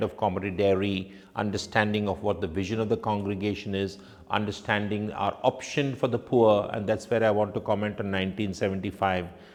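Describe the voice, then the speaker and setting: This man speaks with a Goan accent at a moderate pace. His pitch is fairly low. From India, Konkani-speaking family. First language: Konkani. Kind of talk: reflective testimony.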